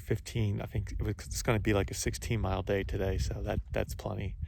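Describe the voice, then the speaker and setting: Somewhat breathy and dark, mellow in tone, a man with a fairly low-pitched voice speaks at a moderate pace. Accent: American. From Philadelphia, US. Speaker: long-distance hiker, vlogger. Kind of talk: video diary. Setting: outdoors on a hiking trail. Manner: casual, with frequent fillers.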